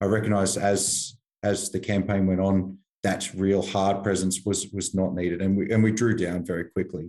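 With an Australian accent, a man talks at a moderate pace in a fairly low pitch and a dark, mellow tone, his intonation monotone and flat. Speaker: army veteran. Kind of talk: interview.

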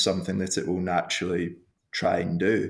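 A Glasgow accent on a very clean recording with a silent background. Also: man. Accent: Scottish (Glasgow). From Scotland, Glasgow. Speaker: sports medicine doctor. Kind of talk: interview.

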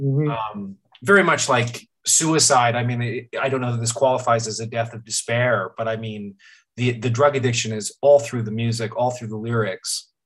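At a moderate pace, a man with an unremarkable speaking voice speaks in a medium pitch with fairly even intonation. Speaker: podcast host. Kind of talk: interview. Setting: video call.

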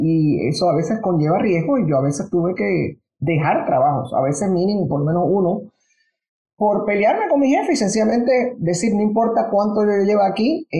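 The voice is somewhat breathy with a dark, mellow tone, swinging very widely in pitch at a moderate pace. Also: woman. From Panama. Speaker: business executive. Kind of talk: interview.

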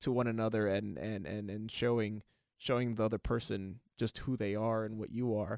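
With an American accent, a man speaks fairly quickly at a medium pitch and fairly even intonation. The sound is dry and close, with no echo. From Los Angeles, California. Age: 20s. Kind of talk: casual chat. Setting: studio. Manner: halting, many repeated words.

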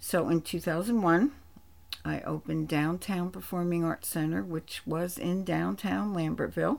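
Fairly low for a woman, this voice with an American accent proceeds at a fairly slow pace on a very clean recording with a silent background. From New Jersey, East Rutherford. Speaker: theatre co-founder and producing director. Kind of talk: interview, personal history. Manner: hesitant fillers, conversational.

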